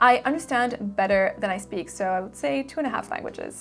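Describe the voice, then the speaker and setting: A woman in an American accent at a moderate pace, with lively intonation and music in the background. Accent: American-sounding English. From Switzerland (French-speaking) and Singapore. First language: French. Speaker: fragrance YouTuber. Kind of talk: casual Q&A.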